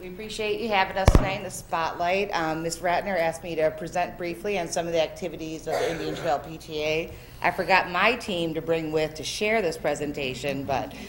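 Noticeable background noise sits behind a woman with a fairly low pitch. She talks fairly quickly with hardly any pauses and fairly even intonation. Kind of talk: presentation. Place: meeting room. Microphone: podium.

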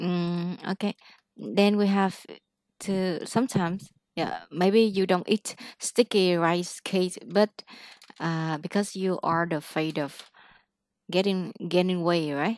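A woman speaks very slowly with long, frequent pauses, her voice dry and echo-free against a quiet background. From Vietnam. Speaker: English teacher; English tutor. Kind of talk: one-on-one English lesson; one-on-one online lesson, mixed English and Vietnamese. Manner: animated. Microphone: webcam.

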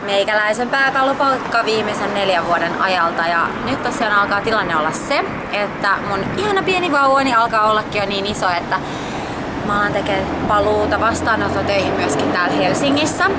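Loud noise fills the background while a woman talks at a moderate speed. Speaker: clinic owner vlogger. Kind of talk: casual vlog chat. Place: street.

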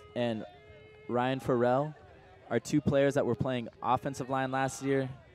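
Against noticeable background noise, a man talks very slowly at a medium pitch. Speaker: sports commentator. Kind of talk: live sports commentary.

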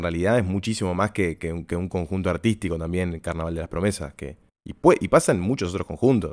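Recorded very cleanly against a silent background, a man speaks with a Uruguayan accent at a very deep, low pitch. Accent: Uruguayan Spanish (Rioplatense). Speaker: podcast host and carnival performer. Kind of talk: casual interview chat.

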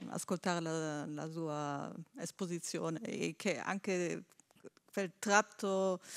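Against a quiet background, a woman speaks at a very slow pace. Her pitch is medium, with ordinary pitch variation. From Germany. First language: German (speaking Italian). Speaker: audience member. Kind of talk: audience question. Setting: stage with live audience. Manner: halting, many fillers. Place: hall.

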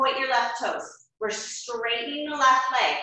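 A high-pitched woman's voice in strong room echo. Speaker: yoga teacher. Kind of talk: yoga class instruction. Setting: online video class. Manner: calm, even cueing in short imperative phrases, paced to the breath. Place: home room. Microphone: camera far.

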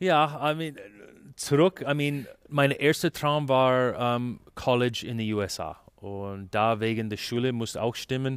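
On a very clean recording with a silent background, the speaker goes at a fairly slow pace with ordinary pitch variation. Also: man, medium pitch for a man. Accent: Canadian English. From Canada. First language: English (speaking German). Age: 40s. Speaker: ice hockey sports director. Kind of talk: interview. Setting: arena. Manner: halting, many fillers.

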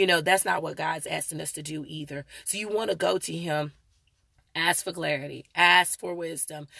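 Her tone is bright and sharp, with vocal fry and a fairly low pitch for a woman. She keeps a fairly even intonation but swings widely in loudness, in a dry sound with no echo and a quiet background. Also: moderate pace. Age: 40s. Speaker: vlogger and mother. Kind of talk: live stream talk. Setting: live video stream. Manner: halting, many fillers. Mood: earnest, preachy. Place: car. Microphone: phone near.

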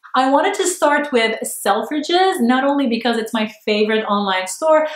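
A woman's high voice sweeps through very wide pitch swings, with audible room echo around it. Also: moderate pace. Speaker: online shopping vlogger. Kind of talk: casual talk to camera. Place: home room.

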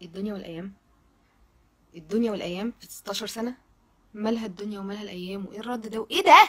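This woman has an animated tone and a fairly high pitch. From Egypt. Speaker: social media commentator. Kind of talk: video monologue. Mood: indignant, shocked. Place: home room. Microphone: phone near.

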